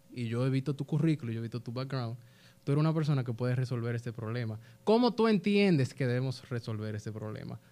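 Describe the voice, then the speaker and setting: A man's very fast speech in a dark, mellow tone, on a very clean recording with a silent background. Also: medium pitch for a man, ordinary pitch variation. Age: 20s. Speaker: young business founder. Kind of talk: casual interview chat.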